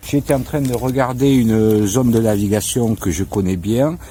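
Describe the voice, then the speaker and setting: Ordinary pitch variation in a man's fairly low-pitched voice. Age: 60s. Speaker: customer product reviewer. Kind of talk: product review.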